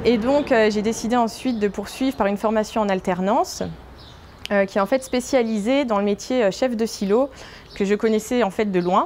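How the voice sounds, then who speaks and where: Loudness stays very even as a woman speaks at a fairly high pitch with ordinary pitch variation over noticeable background noise. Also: moderate pace. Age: 20s. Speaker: grain silo manager. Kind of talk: workplace interview. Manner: hesitant, many filler sounds.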